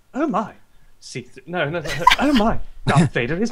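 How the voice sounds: This is a put-on character voice that sounds robotic. It sits at a middle pitch and moves at a moderate pace.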